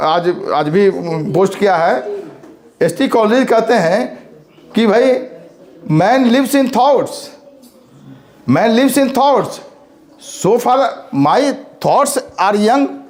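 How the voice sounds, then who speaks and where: The intonation is lively and the loudness very even. Background noise is noticeable. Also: man. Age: 60s. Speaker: college principal. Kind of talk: speech. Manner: halting.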